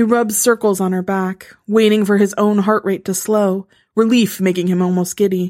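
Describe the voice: Over a quiet background, someone reads aloud plainly with fairly even intonation.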